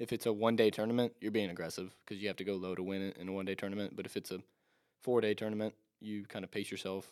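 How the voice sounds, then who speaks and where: This man talks very fast at a fairly low pitch, with flat, monotone intonation. The recording is very clean, with a silent background. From upstate South Carolina, Greer. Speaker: college golfer. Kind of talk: casual chat.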